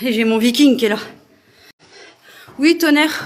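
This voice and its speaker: Ordinary pitch variation from a woman speaking at moderate speed. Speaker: urban explorer and paranormal live streamer. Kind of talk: live stream tour. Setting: abandoned sanatorium, indoors. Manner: casual, hesitant with many fillers.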